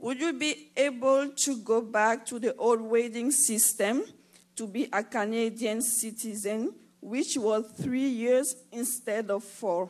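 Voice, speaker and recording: The speaker uses a non-native accent and ordinary pitch variation at a very slow pace. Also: woman, fairly high pitch for a woman. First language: not English. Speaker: audience member. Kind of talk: question at town hall. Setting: town hall with audience.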